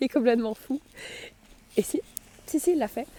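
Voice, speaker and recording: In a dry, close sound with no echo, a woman speaks at a fairly quick pace with a dark, mellow tone. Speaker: student vlogger. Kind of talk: casual vlog chat. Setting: outdoors in snow. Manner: halting.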